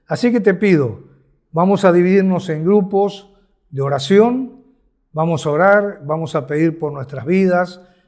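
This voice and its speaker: The speaker talks at a fairly slow pace with ordinary pitch variation. Audible echo from the room can be heard. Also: man, high pitch for a man. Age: 70s. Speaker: ministry leader. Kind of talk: sermon. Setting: virtual conference. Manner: passionate, exhorting.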